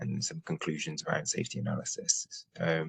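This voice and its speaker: A British accent, dry and close with no echo. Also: man. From UK. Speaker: nuclear safety expert. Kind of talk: webinar presentation. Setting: online webinar.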